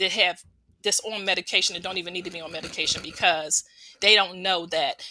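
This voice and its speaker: Her voice sits at a medium pitch, with a bright, sharp tone and fairly even intonation. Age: 60s. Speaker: certified juice therapist and juice business owner. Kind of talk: interview testimony. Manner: casual, with many fillers.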